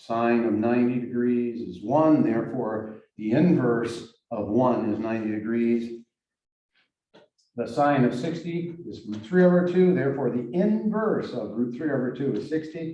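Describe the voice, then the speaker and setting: Using an American accent, a man speaks at a fairly slow pace and medium pitch with ordinary pitch variation. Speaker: math teacher. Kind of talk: lecture. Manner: halting.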